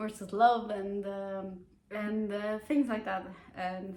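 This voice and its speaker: Amid audible room echo, a woman with a non-native accent speaks at a very slow pace and a medium pitch. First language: not English. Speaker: book youtuber. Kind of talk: casual book review chat. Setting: home, on a sofa. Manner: casual, many fillers and hesitations; animated.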